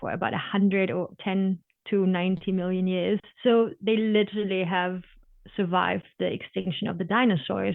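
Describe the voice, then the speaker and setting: A woman speaks at a moderate pace with a German accent. Her intonation is fairly even. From Germany. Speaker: sea turtle biologist. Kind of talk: interview. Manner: passionate.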